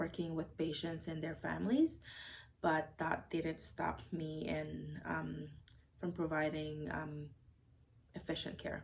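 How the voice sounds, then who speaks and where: A woman speaks at a fairly slow pace with a non-native accent. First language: not English. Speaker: registered nurse. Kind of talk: interview. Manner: hesitant, many fillers.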